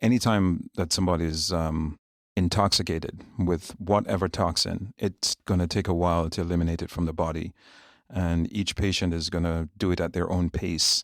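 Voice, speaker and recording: A man with a Jamaican accent speaks at a moderate pace with a very deep, low pitch and fairly even intonation. The recording is very clean, dry and close, with a silent background and no echo. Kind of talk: podcast interview.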